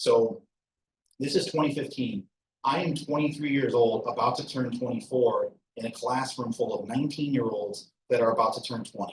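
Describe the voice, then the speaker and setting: At a moderate pace, a man with an American accent speaks in a somewhat breathy voice of medium pitch with ordinary pitch variation. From Michigan, Detroit suburbs. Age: 30s. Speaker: invited alumnus speaker. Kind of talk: personal talk to students.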